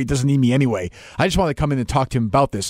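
Recorded very cleanly against a silent background, a man speaks very fast, the sound dry and close with no echo. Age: 40s. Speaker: podcast host. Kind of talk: casual interview.

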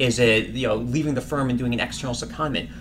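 Over noticeable background noise and audible room echo, a man speaks with an American accent. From Washington, D.C. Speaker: recruiting manager. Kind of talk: casual interview.

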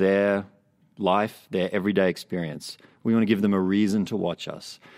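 In a very clean recording with a silent background, a man with an Australian accent speaks at a fairly low pitch. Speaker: TV news assignment editor. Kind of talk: casual interview chat. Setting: studio.

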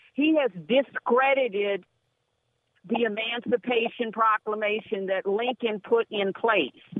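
A plain, everyday voice from a woman with an American accent, fairly high in pitch, with ordinary pitch variation at a fairly slow pace. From Los Angeles. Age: 60s. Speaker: radio caller. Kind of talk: talk radio call-in. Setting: phone call.

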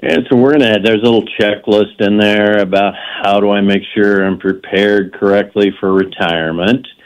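In an ordinary speaking voice, a man talks at a moderate pace and fairly low pitch, with fairly even intonation, very even loudness and hardly any pauses. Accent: American. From Kansas. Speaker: retirement financial advisor. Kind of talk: radio interview.

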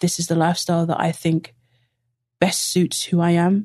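Flat and monotone, a woman speaks at a moderate pace in a dark, mellow tone. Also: quiet background. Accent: London. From East London. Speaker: lawyer-turned-soccer coach. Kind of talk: casual interview chat.

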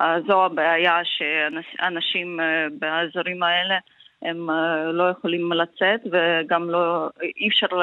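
A woman speaks at a very slow pace in a fairly low voice with a Ukrainian accent. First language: Ukrainian (speaking Hebrew). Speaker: member of parliament. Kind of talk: interview. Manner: halting.

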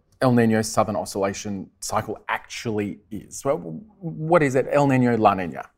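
A man with an Australian accent speaks at a medium pitch and a moderate pace. His tone is enthusiastic and his intonation is lively. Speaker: meteorologist and TV weather presenter. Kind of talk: live interview. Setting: stage with audience.

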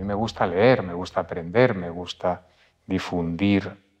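A man's very deep, low voice, very slow in pace, with fairly even intonation against a quiet background. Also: big swings in loudness. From Spain, Madrid. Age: 60s. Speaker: publisher and writer. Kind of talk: interview. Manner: halting.

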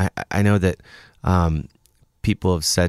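A man talking at a fairly quick pace, fairly even in intonation, with a dry, close sound and no echo. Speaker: musician. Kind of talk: casual interview chat. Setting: studio.

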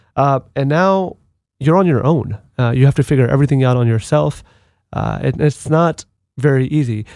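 On a very clean recording with a silent background and a dry, close sound with no echo, a man with a plain, everyday voice, fairly high in pitch, speaks at a moderate pace with ordinary pitch variation. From US (moved from abroad at six or seven). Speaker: Marine Corps veteran and advocate. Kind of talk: interview. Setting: studio.

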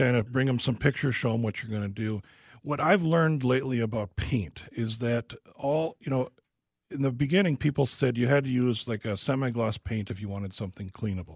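An ordinary speaking voice from a man, medium in pitch with ordinary pitch variation, runs at a fairly quick pace. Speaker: home remodeling specialist. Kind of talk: casual radio Q&A. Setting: studio.

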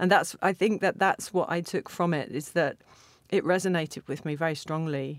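The recording is very clean, with a silent background. A woman speaks with a southern English accent at a fairly low pitch and fairly even intonation. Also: moderate pace. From England, Stevenage (Hertfordshire). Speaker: literary translator. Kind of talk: interview. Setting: studio. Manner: hesitant, with repeated words.

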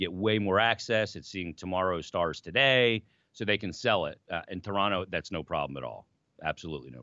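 A man's very deep, low voice with vocal fry, lively intonation and a fairly quick pace. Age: 40s. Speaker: hockey radio personality, former emergency goalie. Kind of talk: casual chat.

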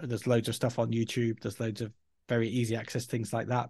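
A man's medium-pitched, somewhat breathy voice at a very fast pace. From Yorkshire, northern England. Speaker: learning and development head. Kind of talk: interview conversation.

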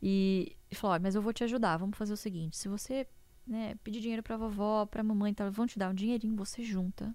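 A woman talks at a fairly quick pace. She has a normal speaking voice. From interior of São Paulo state, Brazil. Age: young. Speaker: economist and investor. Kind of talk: interview.

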